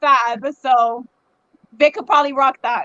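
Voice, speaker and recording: A woman's bright, sharp tone comes through in a dry, close sound with no echo. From US, Cuban-American family. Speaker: chef. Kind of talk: casual chat. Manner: fast.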